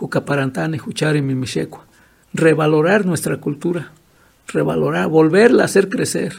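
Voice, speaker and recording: Speaking at a moderate pace, a man uses a fairly high pitch with ordinary variation. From Michoacán, Mexico (Purépecha region). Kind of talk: interview. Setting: at his home.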